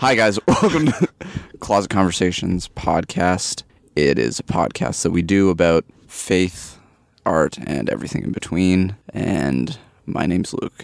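A man with a very deep, low pitch speaks at a fairly slow pace, his intonation lively and marked by vocal fry. The sound is dry and close, with no echo. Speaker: podcast co-host. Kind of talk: casual chat.

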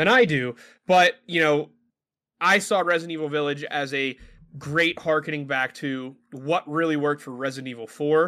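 Bright and sharp in tone, a man speaks with an American accent and ordinary pitch variation. The recording is very clean, with a silent background. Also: fairly high pitch for a man, moderate pace. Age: 20s. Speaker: podcast co-host. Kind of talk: casual chat.

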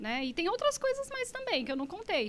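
A woman's raised, projected voice, bright and sharp in tone, with very wide pitch swings at a moderate pace. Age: 40s. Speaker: psychologist. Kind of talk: podcast interview.

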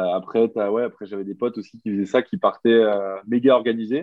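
A man speaks at a fairly quick pace and a medium pitch. His intonation stays fairly even. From Belgium, Brussels. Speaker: rugby player. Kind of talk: interview. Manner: halting.

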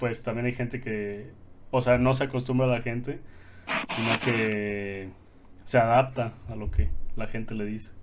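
A man talks at a fairly slow pace with long, frequent pauses, and the room echo is audible. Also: medium pitch for a man, fairly even intonation. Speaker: podcast co-host. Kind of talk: casual chat.

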